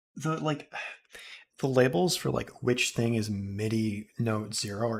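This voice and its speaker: A man speaks in a somewhat breathy voice. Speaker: music composer streamer. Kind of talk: casual chat.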